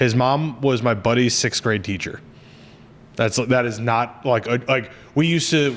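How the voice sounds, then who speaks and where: Delivered at a moderate tempo, the speech shows ordinary pitch variation. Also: man. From central New Jersey. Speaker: podcast host. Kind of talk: casual chat. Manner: animated, with many false starts.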